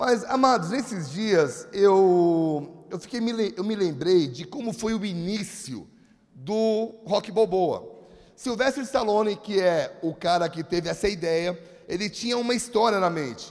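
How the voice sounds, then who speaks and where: The delivery is fairly slow, with lively intonation. The tone comes across as animated. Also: man, high pitch for a man. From Brazil, São Paulo. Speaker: pastor. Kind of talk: sermon. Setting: church.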